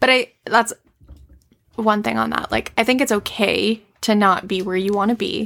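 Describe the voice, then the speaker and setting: Fairly even intonation marks a normal speaking voice delivered at a moderate pace. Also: woman, medium pitch for a woman. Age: 20s. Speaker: podcast co-host. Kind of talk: casual chat.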